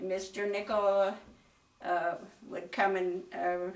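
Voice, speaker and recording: In a western Pennsylvania accent, a woman with a medium-pitched voice talks at a fairly slow pace in a flat monotone, with audible room echo. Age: 90s. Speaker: school alumna. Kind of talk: interview. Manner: halting.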